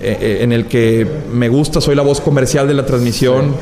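Audible room echo and noticeable background noise around a man speaking at a moderate pace. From Mexico. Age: 20s. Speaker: media personality. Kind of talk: casual chat.

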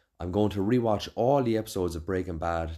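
Speaking with an Irish accent, a man with a dark, mellow tone keeps a fairly quick pace. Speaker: podcast host and chef. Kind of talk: casual chat.

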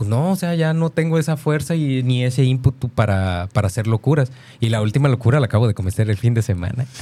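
The voice is somewhat breathy with a dark, mellow tone and lively intonation, moving at a very fast pace. The recording is very clean, with a silent background. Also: man, medium pitch for a man. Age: 30s. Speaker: radio co-host. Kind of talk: casual chat.

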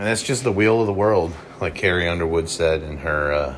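A man speaks at a very deep, low pitch with ordinary pitch variation. Noticeable background noise and audible room echo fill the recording. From Cincinnati area, Ohio. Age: 30s. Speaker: podcast host. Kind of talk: solo casual monologue. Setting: hotel room.

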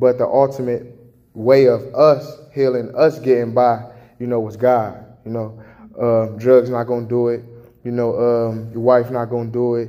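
At a moderate pace, a man with a medium pitch speaks in a monotone, flat intonation. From Chicago. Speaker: testimony giver. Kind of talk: testimony. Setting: homeless shelter. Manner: halting, casual.

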